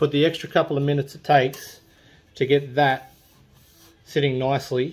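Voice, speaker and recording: A man is speaking. His pace is moderate, and his intonation is fairly even. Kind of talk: tutorial. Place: garage.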